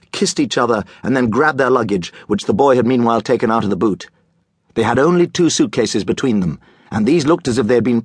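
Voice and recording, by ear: With lively intonation, a passage is read aloud in a natural voice over a quiet background.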